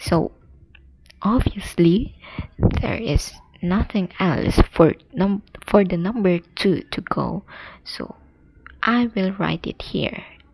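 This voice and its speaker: Soft-spoken, the speaker talks at a very slow pace with long, frequent pauses. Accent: non-native. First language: not English. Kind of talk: soft-spoken ASMR puzzle-solving narration. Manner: soft-spoken, slow.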